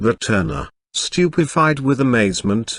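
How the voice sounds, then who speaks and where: A man's medium-pitched voice, a normal speaking voice, with lively intonation, a fairly slow pace and a quiet background. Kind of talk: audiobook short story reading.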